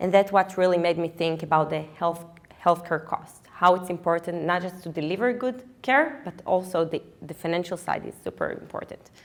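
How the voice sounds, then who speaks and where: A woman with an Israeli accent talks at a moderate pace in a fairly low pitch, with ordinary pitch variation and big swings in loudness. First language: Hebrew. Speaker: physician and startup co-founder. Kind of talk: startup pitch presentation. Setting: stage with live audience. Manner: halting, many fillers.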